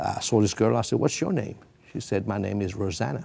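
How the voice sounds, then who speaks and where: A man with a fairly low pitch speaks at a moderate pace with lively intonation, a dark, mellow tone and vocal fry. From Britain. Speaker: preacher. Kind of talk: TV interview, testimony.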